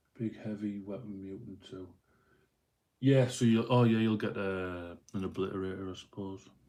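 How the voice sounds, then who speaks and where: In a Yorkshire accent, a man with a fairly low pitch talks at a moderate pace with fairly even intonation and big swings in loudness. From northern England, Doncaster. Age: 30s. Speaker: miniature painter live streamer. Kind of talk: casual live stream chat. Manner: casual, rambling with fillers.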